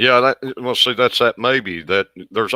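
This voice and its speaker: On a very clean recording with a silent background, a man with a Southern US accent speaks in a bright, sharp tone with ordinary pitch variation. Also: dry, close sound with no echo. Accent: Southern drawl. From US South. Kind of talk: casual chat.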